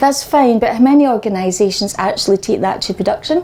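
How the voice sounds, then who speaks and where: A woman talks at a fairly quick pace. She has a slight Scottish accent. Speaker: data and BI consultant. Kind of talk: conference talk. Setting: meetup stage with audience, using microphone.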